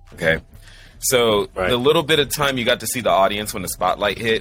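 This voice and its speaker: With music in the background, a man with a fairly low pitch speaks at a very fast pace using lively intonation. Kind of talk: casual banter. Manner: joking, casual.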